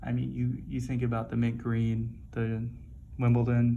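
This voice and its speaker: Soft-spoken, a man talks at a moderate pace. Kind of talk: soft-spoken ASMR watch review.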